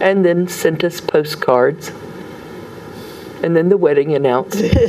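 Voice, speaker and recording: At a fairly slow pace and very even loudness, a woman talks with an American accent over noticeable background noise. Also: fairly low pitch for a woman, ordinary pitch variation. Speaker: storyteller. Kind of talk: interview answer.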